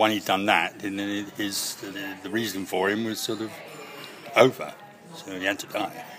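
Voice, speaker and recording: Over music in the background, a man with a fairly low pitch speaks at a moderate pace in a flat monotone, with big swings in loudness. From Scotland, Greenock. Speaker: actor. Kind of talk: interview.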